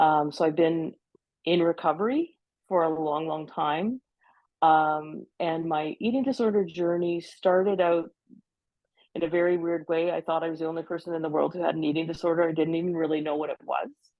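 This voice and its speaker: A woman has an ordinary speaking voice with a Canadian accent. She talks at a fairly quick pace with fairly even intonation. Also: fairly low pitch for a woman. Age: 60s. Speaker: peer mentor in eating disorder recovery. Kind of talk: podcast interview.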